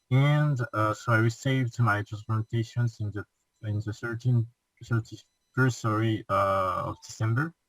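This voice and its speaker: The somewhat breathy voice keeps a fairly even intonation at a fairly slow pace. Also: man, medium pitch for a man. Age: 20s. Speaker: transplant patient. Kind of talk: interview. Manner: halting.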